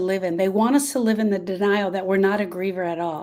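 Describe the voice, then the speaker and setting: A woman's medium-pitched voice, a normal speaking voice, at a fairly quick pace with ordinary pitch variation. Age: 60s. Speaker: grief specialist. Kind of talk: live stream talk. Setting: live video stream.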